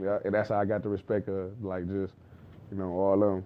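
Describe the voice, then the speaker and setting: Speaking at a very fast pace, a man uses a fairly low pitch with monotone, flat intonation. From Detroit, Michigan. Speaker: basketball trainer, former player. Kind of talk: casual interview chat.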